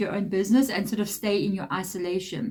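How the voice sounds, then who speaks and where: A woman's pitch varies in an ordinary way as she speaks at a fairly quick pace, her voice somewhat breathy. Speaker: tarot reader. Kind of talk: tarot reading monologue.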